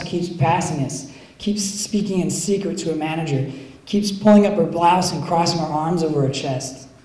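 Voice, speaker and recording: Over noticeable background noise and audible room echo, a man with an American accent talks at a high pitch and a moderate pace. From US Northeast, Philadelphia. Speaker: poet. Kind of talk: poetry reading. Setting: cafe reading with audience.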